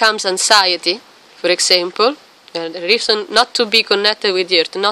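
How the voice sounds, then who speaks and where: Recorded with a dry, close sound and no echo, a woman talks at a moderate pace and a medium pitch. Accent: non-native. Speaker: qigong and Taoist practice teacher. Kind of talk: tutorial. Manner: halting.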